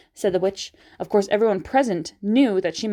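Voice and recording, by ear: This is someone reading aloud in a natural voice. The pitch varies in an ordinary way.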